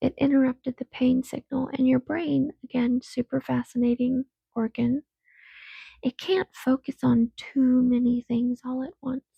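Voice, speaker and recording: A woman speaks softly at a high pitch. Her pace is fairly slow. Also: fairly even intonation. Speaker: podcaster. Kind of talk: casual monologue. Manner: soft-spoken; rambling, hesitant.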